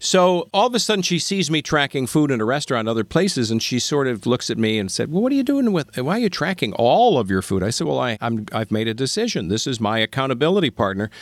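A man with a medium pitch talks at a very fast pace with very wide pitch swings and hardly any pauses. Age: 60s. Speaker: podcast host. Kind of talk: casual chat.

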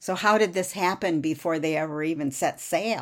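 A woman with a fairly low pitch uses an ordinary speaking voice with ordinary pitch variation at a moderate pace. The recording is very clean, with a silent background. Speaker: podcast host and author. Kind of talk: history documentary narration. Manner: measured, steady storyteller pace, solemn and even; formal, clear, reads aloud from script.

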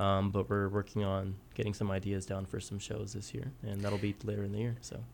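Fairly quick in pace, a man with an American accent uses a plain, everyday voice, fairly low in pitch with fairly even intonation. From southwest Kansas, US. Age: 30s. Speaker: painter. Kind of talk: interview.

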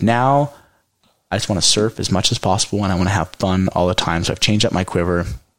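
Very deep and low, a man's voice races at a very fast pace. His pitch variation is ordinary. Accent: American. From California Central Coast. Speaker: winemaker. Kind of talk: casual chat.

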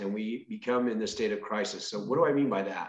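An ordinary speaking voice from a man with an American accent, medium pitch, fairly even intonation and a fairly quick pace. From Northern California. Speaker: state senator and farmer. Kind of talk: interview.

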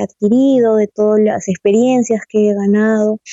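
Moving at a moderate pace, a woman speaks in a fairly high voice. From Peru, Cajamarca. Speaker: mining engineer. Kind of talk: interview testimony. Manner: hesitant, with fillers.

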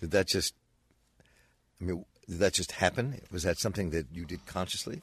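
Here a man with a very deep, low pitch sounds somewhat breathy. He moves at a fairly quick pace with long, frequent pauses against a quiet background. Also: ordinary pitch variation. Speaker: radio host. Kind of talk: radio interview. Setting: radio studio. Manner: casual, halting.

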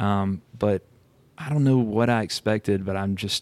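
With an American accent, a man talks in a normal speaking voice at a fairly low pitch and fairly slow pace, the sound dry and close with no echo. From Alabama, US South. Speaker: author. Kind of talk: casual interview chat.

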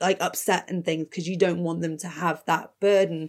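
The recording is very clean with a silent background as a woman talks in a normal speaking voice, keeping a moderate pace and ordinary pitch variation. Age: 30s. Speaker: horror podcaster. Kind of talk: casual chat.

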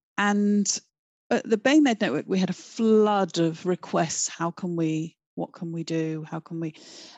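With a southern English accent, a woman speaks fairly slowly at a fairly low pitch, her pitch varying in an ordinary way. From London, England. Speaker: educator and education charity co-founder. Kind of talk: interview.

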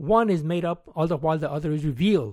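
Fairly high in pitch, a man speaks with a Spanish accent at a fairly quick pace. His pitch varies in an ordinary way, and the recording is very clean with a silent background. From Mexico. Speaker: retired science teacher. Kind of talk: scripted narration. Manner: formal.

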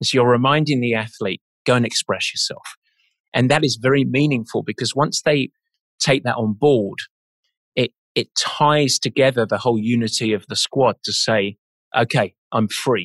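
A man with an English accent speaks at a medium pitch and moderate pace. His pitch varies in an ordinary way, and the sound is dry and close with no echo. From England. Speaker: endurance sports coach. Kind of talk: interview conversation.

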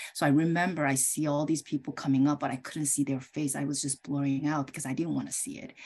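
A woman with a Korean accent speaks very fast in a very deep, low pitch. Her tone is dark and mellow, and her intonation stays monotone and flat. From South Korea. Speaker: optometrist and homeopath. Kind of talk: interview. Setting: video call.

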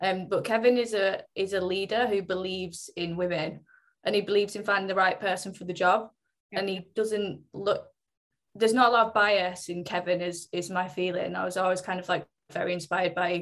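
With a Mancunian accent, a woman speaks fairly quickly at a medium pitch in a monotone, flat intonation. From Greater Manchester (Oldham), England. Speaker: fitness company brand marketing lead. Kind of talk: panel discussion.

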